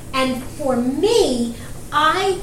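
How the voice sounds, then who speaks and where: In a New York accent, a woman speaks at a high pitch with lively intonation over noticeable background noise. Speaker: marketing podcast co-host. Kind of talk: casual discussion.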